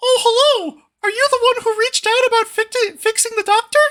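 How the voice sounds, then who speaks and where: Squeaky and extremely high, a put-on character voice moves at a fairly quick pace. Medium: actual play. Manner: upbeat, chummy.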